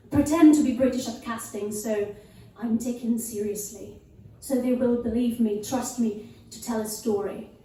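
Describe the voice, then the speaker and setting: A woman's fairly high voice at a moderate pace, fairly even in intonation but with big swings in loudness, amid audible room echo and noticeable background noise. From Italy. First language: Italian. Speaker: actor and cabaret performer. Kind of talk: stage monologue. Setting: stage with live audience.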